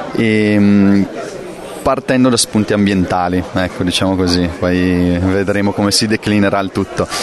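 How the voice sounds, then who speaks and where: Fairly low-pitched male speech, monotone and flat, at a fairly slow pace over crowd noise in the background. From northern Italy, Brescia area (Lake Garda). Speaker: film director. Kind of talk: interview. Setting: film festival. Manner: hesitant, many fillers.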